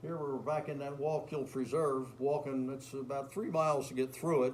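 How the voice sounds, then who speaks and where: Over noticeable background noise, a man speaks at a moderate pace in a fairly high pitch. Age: 70s. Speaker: hiker. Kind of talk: public presentation. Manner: casual, conversational.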